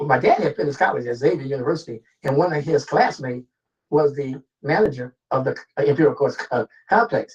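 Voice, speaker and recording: Somewhat breathy, a man with an American accent and a fairly high voice speaks at a fairly quick pace with ordinary pitch variation. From Los Angeles, Watts area (from age 11; born New Orleans). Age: 70s. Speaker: former police officer. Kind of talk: interview. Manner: halting.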